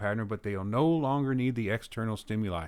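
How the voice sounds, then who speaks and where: A man with an American accent at a medium pitch, ordinary pitch variation, and a very clean recording over a silent background. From US, mainly Texas (also Philadelphia, Kansas City). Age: 40s. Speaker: YouTuber discussing social issues. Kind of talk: explanatory talk to camera. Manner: conversational, somewhat halting with self-corrections.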